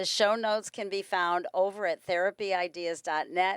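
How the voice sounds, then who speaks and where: A woman's medium-pitched voice, an unremarkable speaking voice at a moderate pace, with dry, close sound and no echo. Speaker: podcast host, therapist. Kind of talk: podcast interview and outro.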